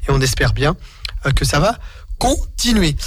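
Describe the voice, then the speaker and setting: A man speaks at a moderate pace. Noticeable background noise and audible room echo surround him. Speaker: radio host. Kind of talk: sports radio show. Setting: radio studio.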